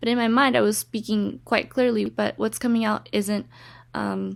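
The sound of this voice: A woman speaks with a fairly high pitch and vocal fry. Her intonation is fairly even and her pace moderate.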